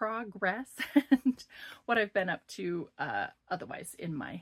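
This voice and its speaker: Marked by vocal fry, a woman speaks at a fairly slow pace with lively intonation. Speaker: cross-stitch vlogger. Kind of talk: casual vlog update.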